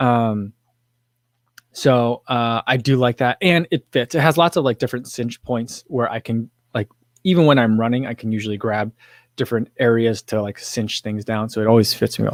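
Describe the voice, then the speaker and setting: The recording has a dry, close sound with no echo as a man talks at medium pitch and a moderate pace with ordinary pitch variation. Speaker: running YouTuber. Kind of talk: livestream chat reading comments.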